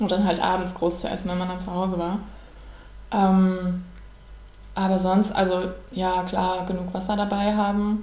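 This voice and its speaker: Audible room echo carries a woman's monotone, flat intonation as she talks at a moderate pace with long, frequent pauses. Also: medium pitch for a woman. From Siebengebirge near Bonn, Germany. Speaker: amateur runner, online editor. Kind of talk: casual podcast interview. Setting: kitchen table.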